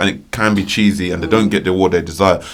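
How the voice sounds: A man with a fairly low voice talks at a fast pace.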